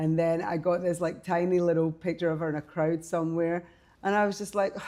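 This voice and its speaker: Talking at a fairly quick pace, a woman with a fairly low pitch speaks in a Scottish accent. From Scotland, Glasgow. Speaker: fashion designer and artist. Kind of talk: interview. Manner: animated.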